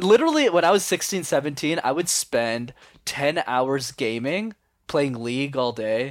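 Over a very clean recording with a silent background, a man with a normal speaking voice talks at a fairly slow pace and medium pitch, with ordinary pitch variation. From Canada, Montreal. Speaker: communication coach and YouTuber. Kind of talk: podcast interview.

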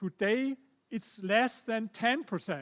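A man's high-pitched voice with a German accent, ordinary pitch variation and a very slow pace. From Germany. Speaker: historian and author. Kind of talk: lecture. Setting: stage with audience.

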